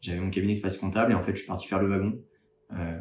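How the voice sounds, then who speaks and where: Intonation stays fairly even in this somewhat breathy voice. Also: man. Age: 30s. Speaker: startup founder and accountant. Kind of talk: candidacy pitch video. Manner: hesitant with frequent fillers.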